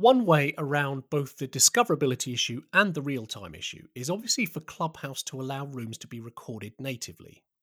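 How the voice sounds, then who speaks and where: Using a normal speaking voice, a man with a fairly high pitch talks at a fairly quick pace in a very clean recording with a silent background and a dry, close sound with no echo. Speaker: podcast host. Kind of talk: scripted intro and interview.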